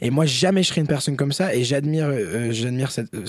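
Talking at a fairly quick pace, a man uses a plain, everyday voice at a medium pitch with lively intonation. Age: 20s. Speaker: rapper. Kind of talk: casual chat.

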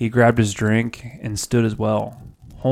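What we hear is an unforced reading voice.

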